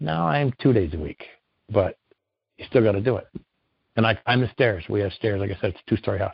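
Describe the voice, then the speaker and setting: Somewhat breathy, a man talks at a fairly quick pace broken by long, frequent pauses. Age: 60s. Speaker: retired concrete worker, knee surgery patient. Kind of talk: interview.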